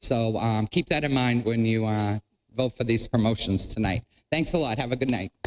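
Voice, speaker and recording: A man with an ordinary speaking voice talks at a moderate pace in a medium pitch, with ordinary pitch variation, very even loudness and a dry, close sound with no echo. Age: 60s. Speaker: public commenter. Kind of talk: public comment speech.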